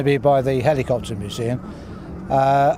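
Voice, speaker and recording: A man's voice over noticeable background noise. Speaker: interviewee, local resident. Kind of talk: street interview.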